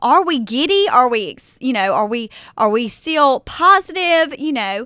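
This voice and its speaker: A woman's raised, projected voice in a Southern US accent, high-pitched, bright and sharp, animated, with very wide pitch swings at a fairly slow pace, on a very clean recording with a silent background. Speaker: podcast host. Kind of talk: faith-based podcast talk with scripture reading.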